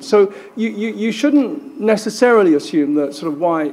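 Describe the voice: At a fairly slow pace, a man speaks with vocal fry and a dark, mellow tone.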